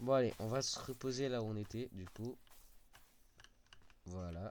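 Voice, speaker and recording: His fairly low voice moves with ordinary pitch variation as the man speaks. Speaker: gaming youtuber. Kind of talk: let's play commentary. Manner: animated.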